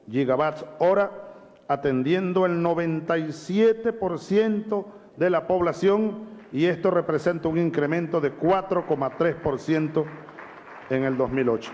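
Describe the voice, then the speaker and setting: A man speaks at a fairly slow pace in a high voice with ordinary pitch variation, over noticeable background noise. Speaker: head of state. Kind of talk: formal address to parliament.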